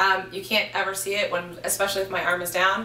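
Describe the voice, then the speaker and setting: Moderately paced speech from a woman, amid audible room echo and noticeable background noise. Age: young. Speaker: surgery patient. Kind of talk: testimony. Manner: hesitant with frequent um fillers.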